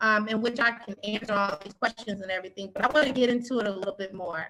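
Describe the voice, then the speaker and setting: A woman speaks with an American accent. Her pitch is fairly high, with ordinary variation. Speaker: city code enforcement official. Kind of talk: presentation. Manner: fast.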